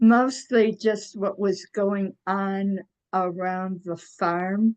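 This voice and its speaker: At a very slow pace, a woman with an American accent talks at a medium pitch with fairly even intonation. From Michigan, US Midwest. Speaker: retired x-ray technician. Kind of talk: oral history interview. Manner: hesitant, many fillers.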